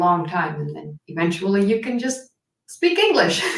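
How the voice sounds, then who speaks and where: Moderate pace, with audible room echo. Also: woman. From Netherlands. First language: Dutch. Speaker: history YouTuber. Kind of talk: casual chat.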